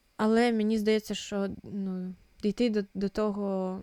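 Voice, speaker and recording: A woman's dark, mellow tone, monotone, flat intonation and moderate pace, with a dry, close sound with no echo and a very clean recording, silent background. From eastern Ukraine, Luhansk. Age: 20s. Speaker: podcast co-host. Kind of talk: casual chat. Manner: halting.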